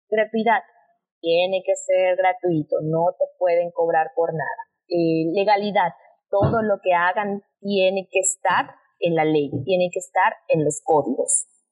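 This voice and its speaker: A woman speaks in an ordinary speaking voice at medium pitch, with ordinary pitch variation and very even loudness. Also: fairly slow pace. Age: 20s. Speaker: lawyer. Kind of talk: explanatory interview.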